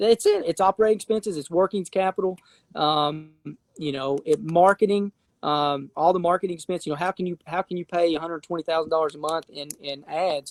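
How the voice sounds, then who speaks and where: Speaking with an Appalachian accent, a man talks at a fairly quick pace with a high pitch and ordinary pitch variation. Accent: Appalachian Southern US. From Appalachia, eastern Kentucky / east Tennessee. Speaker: real estate investor and fund founder. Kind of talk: casual interview chat. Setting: live stream. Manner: halting, many repetitions and fillers.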